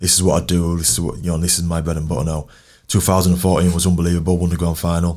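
On a very clean recording with a silent background, a man with a Yorkshire accent talks very fast in a very deep, low voice with monotone, flat intonation. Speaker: professional rugby league player. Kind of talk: casual interview chat. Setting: studio.

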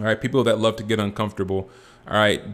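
Pitched fairly low, a man talks with an American accent. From Southern California. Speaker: podcast host, former college football player, performance psychology trainer. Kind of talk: casual podcast introduction monologue.

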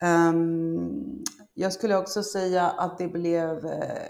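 Here a woman speaks in a fairly low pitch. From Argentina. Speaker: e-commerce expert, marketing coordinator. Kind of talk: interview. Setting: remote call from Argentina. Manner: hesitant, many fillers.

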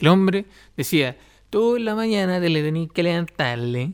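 Heard in a very clean recording with a silent background, a man with a Chilean accent speaks at a high pitch with very wide pitch swings. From Chile, Los Ángeles. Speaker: podcast host. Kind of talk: solo podcast monologue. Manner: halting, with repetitions.

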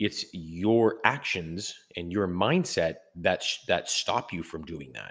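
A man with a Canadian accent at a very slow pace, lively in intonation, on a very clean recording with a silent background. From Canada. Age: 30s. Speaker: podcast host. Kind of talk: casual monologue. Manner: halting, many fillers.

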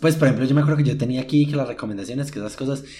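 Over noticeable background noise, a man with a Paisa Colombian accent speaks in an animated tone. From Colombia, Medellín. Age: 20s. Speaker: podcast host. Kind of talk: casual solo monologue. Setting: at home.

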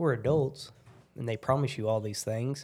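On a very clean recording with a silent background, a man speaks in a rural Oklahoma accent. His tone is dark and mellow, his pitch medium, his pace moderate and his intonation fairly even. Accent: Southern Plains US (Oklahoma), rural. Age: 30s. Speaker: oil field worker and former rodeo cowboy. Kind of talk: casual chat.

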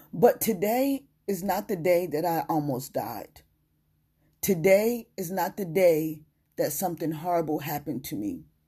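A woman speaks with a fairly low pitch, a dark, mellow tone and a somewhat breathy quality, her intonation lively. She talks at a fairly slow pace in a very clean recording with a silent background. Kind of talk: testimony. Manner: emphatic, repetitive declarations.

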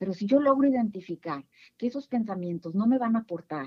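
Somewhat breathy, fairly high voice of a woman. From northern Mexico. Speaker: psychologist and coach. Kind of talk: interview.

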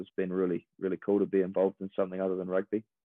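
A man with a fairly low voice speaks with a New Zealand accent. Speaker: professional rugby player. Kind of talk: casual interview.

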